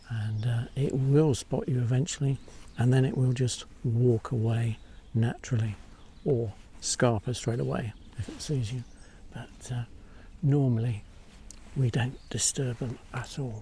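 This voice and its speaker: A dark, mellow, somewhat breathy voice at a fairly slow pace, with fairly even intonation and long, frequent pauses. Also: man, medium pitch for a man. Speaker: wildlife photography vlogger. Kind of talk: outdoor vlog narration. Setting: outdoors in a forest. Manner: whispering quietly.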